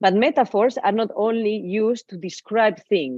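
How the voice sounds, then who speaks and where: Speaking with a Spanish accent, a woman uses ordinary pitch variation. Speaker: digital artist. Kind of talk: lecture. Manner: halting.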